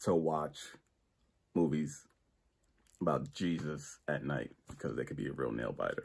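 A man talks with vocal fry. He leaves long, frequent pauses. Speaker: amateur comedian. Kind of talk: stand-up comedy, self-hosted bedroom special with one-liners. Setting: home bedroom. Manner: stammering and repeating words, filler-heavy with uh and um; casual, chuckling at his own jokes. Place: home room. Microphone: phone near.

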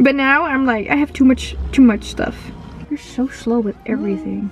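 Woman's playful tone at a moderate pace, dry sound with no echo and faint music in the background. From Netherlands. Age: 20s. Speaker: vlogger, international student. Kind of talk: casual vlog talk to camera. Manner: casual, playful. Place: car.

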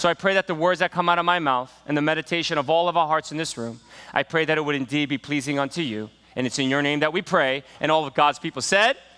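Speaking very quickly, a man keeps his pitch movement ordinary. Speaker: pastor. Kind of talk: sermon. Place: church. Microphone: headset.

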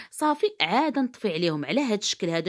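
The background stays quiet. A woman talks at a fairly quick pace. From Morocco. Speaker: cooking youtuber. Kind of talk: cooking tutorial. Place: kitchen. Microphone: phone near.

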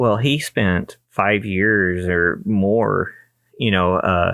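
Against a quiet background, a man speaks at a fairly low pitch with fairly even intonation. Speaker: photography youtuber. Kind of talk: casual vlog chat. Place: home room. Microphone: studio mic.

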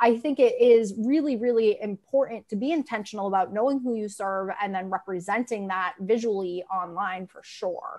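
A woman with an unremarkable speaking voice talks at a moderate pace in a fairly high pitch, hardly pausing. Her pitch varies in an ordinary way, her loudness swings widely, and the background is quiet. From Massachusetts (Grafton); Massachusetts. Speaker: veterinary marketing consultant; guest. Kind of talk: casual panel discussion. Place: home room.

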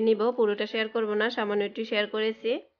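A woman speaks with a fairly high voice. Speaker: cooking vlogger. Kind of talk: casual vlog narration.

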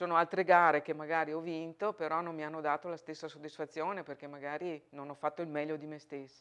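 Very fast, nearly pauseless speech with monotone, flat intonation and big swings in loudness, over a quiet background. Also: woman, very deep, low pitch for a woman. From northern Italy, Verona; northern Italy. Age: 50s. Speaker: Paralympic archer. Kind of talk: interview testimony; interview answer. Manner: hesitant repetitions.

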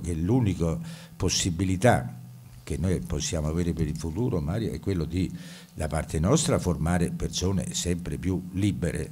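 Speaking at a moderate pace, a man uses a very deep, low pitch with vocal fry and lively intonation. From Italy. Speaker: university professor and administrator. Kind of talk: welcome address at an event. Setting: stage with audience. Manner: formal. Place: hall. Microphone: podium.

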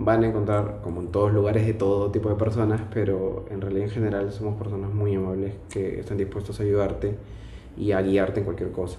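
Speaking in a Lima accent at a fairly quick pace, a man has a fairly low pitch and monotone, flat intonation. The room echo is audible, and there is light background noise. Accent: Peruvian (Lima) Spanish. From Lima, Peru. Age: 20s. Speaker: financial auditor; interviewee. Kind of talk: casual interview monologue. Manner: hesitant, many fillers. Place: home room. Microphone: camera far.

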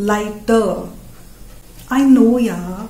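Audible room echo surrounds a woman speaking with an Indian accent, her fairly high pitch held in fairly even intonation. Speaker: comedian. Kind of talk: stand-up comedy. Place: home room.

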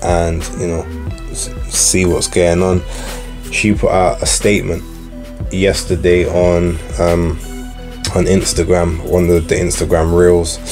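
Speaking at a fairly slow pace with long, frequent pauses, a man is heard over clear music in the background. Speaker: boxing podcast host. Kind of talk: commentary. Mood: frank, critical.

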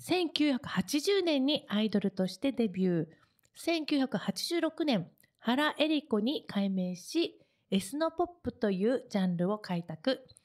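A woman speaks very slowly with a high pitch and very wide pitch swings against a quiet background. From Japan, Kagoshima; Japan. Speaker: radio host and singer; radio show host. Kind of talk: radio talk show. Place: studio. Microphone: studio mic.

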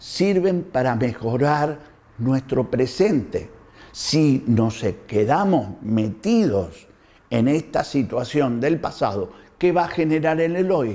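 Speaking very slowly with an Argentine accent, a man uses a fairly high pitch, a dark, mellow tone, very wide pitch swings and very even loudness. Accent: Argentine Spanish (Rioplatense). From Argentina. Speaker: doctor. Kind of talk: health talk to camera. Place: home room. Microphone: lapel.

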